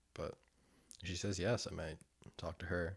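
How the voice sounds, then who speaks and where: A somewhat breathy voice at a moderate pace, flat and monotone in intonation. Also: man. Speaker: sobriety video diarist. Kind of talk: casual monologue. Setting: wearing headphones, recording alone. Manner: frequent laughter.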